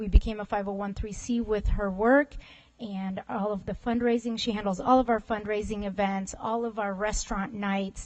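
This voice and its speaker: Speaking at a moderate pace, the woman has a fairly high pitch. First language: not English. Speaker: school administrator. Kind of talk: award presentation at board meeting. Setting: school board meeting room.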